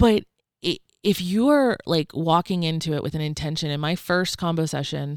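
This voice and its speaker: The recording is very clean, with a silent background. A woman speaks at a moderate pace in a very deep, low voice. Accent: American. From US South, rural Georgia. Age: 30s. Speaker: technology salesperson. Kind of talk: casual chat. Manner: animated.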